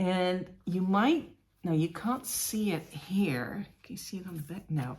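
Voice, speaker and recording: The voice is somewhat breathy, with lively intonation and a fairly slow pace. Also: woman. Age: 50s. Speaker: cross-stitch vlogger. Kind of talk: casual show-and-tell vlog.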